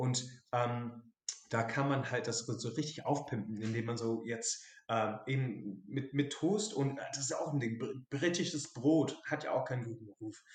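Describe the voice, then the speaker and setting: Fairly slow, somewhat breathy speech from a man. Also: medium pitch for a man, ordinary pitch variation. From southern England, Dorset. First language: English (speaking German). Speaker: English expat sharing his home cuisine. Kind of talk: casual interview.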